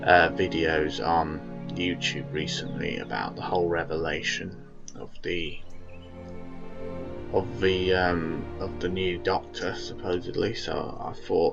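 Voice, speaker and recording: Over music in the background, a man with a very deep, low voice speaks at a fairly slow pace with ordinary pitch variation. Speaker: fan video reviewer. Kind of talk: casual talk to camera. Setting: low-quality home microphone. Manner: rambling, hesitant.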